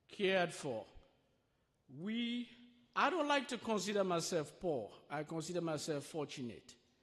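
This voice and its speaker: Speaking with a strong Sierra Leonean accent, a man uses a high pitch and lively intonation. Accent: thick Sierra Leonean. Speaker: refugee sharing life story at church. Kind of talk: testimony. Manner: slow, deliberate.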